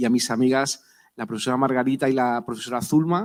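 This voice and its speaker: On a very clean recording with a silent background, a man talks at a moderate pace. His pitch sits at a medium level. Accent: Spanish. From Spain, Madrid. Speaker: professor. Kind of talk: panel talk. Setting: university auditorium.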